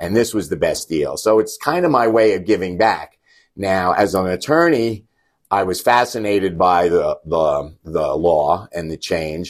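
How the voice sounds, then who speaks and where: An ordinary speaking voice with an American accent moves at a fairly slow pace with lively intonation, on a very clean recording with a silent background. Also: man, fairly low pitch for a man. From New York. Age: 60s. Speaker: lawyer and team booster. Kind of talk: interview.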